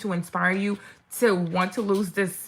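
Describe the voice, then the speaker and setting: Her voice has a bright, sharp tone, a medium pitch for a woman, and fairly even intonation. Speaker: fitness coach. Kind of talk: live stream product walkthrough. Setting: live stream. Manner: fast.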